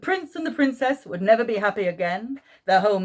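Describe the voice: Lively intonation in plain reading aloud.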